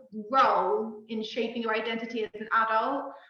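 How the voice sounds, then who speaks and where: A woman with a Cornish accent projects a raised voice, bright and sharp in tone, at a moderate pace, with audible room echo. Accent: Cornish, noticeable on certain words. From Cornwall, England. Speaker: poet. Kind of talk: casual chat.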